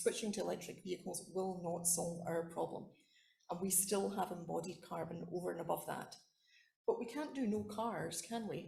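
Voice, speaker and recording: There is audible room echo as a woman with a Scottish accent talks with vocal fry. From Scotland. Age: old. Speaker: academic researcher. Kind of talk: conference talk.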